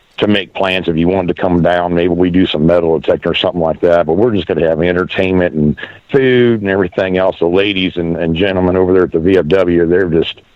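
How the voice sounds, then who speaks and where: A man with an American accent speaks at a very fast pace, his very deep, low voice keeping fairly even intonation and very even loudness. Noticeable background noise is present. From Pennsylvania, Erie. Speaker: radio show host, widower. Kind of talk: casual chat. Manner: halting.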